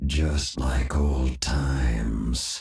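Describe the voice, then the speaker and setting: Putting on a character voice, a man speaks in a raspy, very deep, low register with monotone, flat intonation. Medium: machinima. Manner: menacing.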